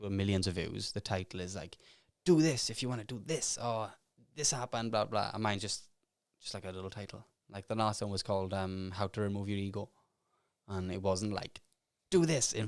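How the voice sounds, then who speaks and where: On a very clean recording with a silent background, a man in a Welsh accent mumbles at a very fast pace. His pitch variation is ordinary. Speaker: self-made millionaire and author. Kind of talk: podcast interview. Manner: mumbling.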